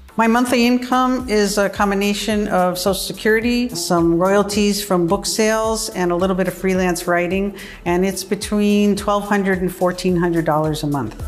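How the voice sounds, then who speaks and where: A woman with an American accent talks at medium pitch and a moderate pace, with hardly any pauses and very even loudness. Audible room echo and noticeable background noise surround her. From US (New York, California). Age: 60s. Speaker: retired journalist. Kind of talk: personal testimony interview. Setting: in her apartment.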